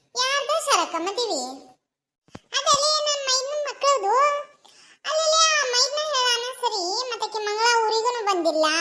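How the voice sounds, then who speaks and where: This is a cartoonish character voice that sounds female, squeaky and extremely high in pitch. It moves at a fairly slow pace. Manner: chatty, reasoning.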